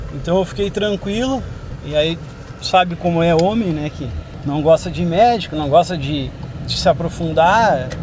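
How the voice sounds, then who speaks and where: Amid noticeable background noise, a man with a high pitch speaks with long, frequent pauses. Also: ordinary pitch variation, moderate pace. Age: 30s. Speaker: cancer survivor. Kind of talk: testimony. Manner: halting.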